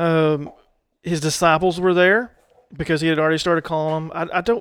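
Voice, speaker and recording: The recording is very clean, with a silent background. A man in a Southern US accent speaks at a moderate pace with a high pitch. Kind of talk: casual chat, faith discussion.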